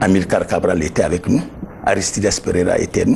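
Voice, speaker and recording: Over noticeable background noise, a man talks with lively intonation. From Guinea. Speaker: former government official; interviewee. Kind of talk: interview testimony. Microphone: lapel.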